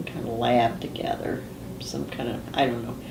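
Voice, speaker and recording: A woman is speaking. There is noticeable background noise and audible echo in the room. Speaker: family history interviewee. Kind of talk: oral history interview. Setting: filmed interview. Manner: casual, with fillers.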